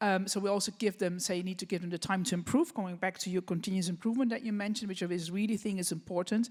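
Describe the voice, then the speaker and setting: In a very clean recording with a silent background, a woman with a Dutch accent talks at a very fast pace, her medium-pitched voice fairly even in intonation and hardly pausing at all. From Netherlands. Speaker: business association president. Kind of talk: panel discussion. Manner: halting.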